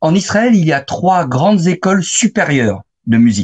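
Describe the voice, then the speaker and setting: Very wide pitch swings mark this man's somewhat breathy voice. The sound is dry and close, with no echo. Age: 60s. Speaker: photographer and author. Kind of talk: interview.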